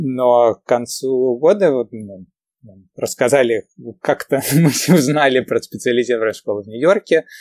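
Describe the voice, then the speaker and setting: At a fairly slow pace with long, frequent pauses, a man speaks in a medium pitch with ordinary pitch variation, the sound dry and close with no echo. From Ukraine (Kyiv), moved to New York as a teen. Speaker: entrepreneur and math teacher. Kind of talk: casual interview chat. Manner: hesitant, many fillers.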